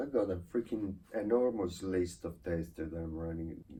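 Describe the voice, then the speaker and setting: A man with a very deep, low pitch and a dark, mellow, somewhat breathy tone speaks with an Italian accent and ordinary pitch variation. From Italy. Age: 30s. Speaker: YouTuber. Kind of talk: channel introduction monologue.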